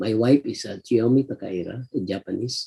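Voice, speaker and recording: Somewhat breathy and dark, mellow in tone, a man's voice shows ordinary pitch variation in a dry, close recording with no echo. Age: 60s. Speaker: regional church director. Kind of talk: testimony.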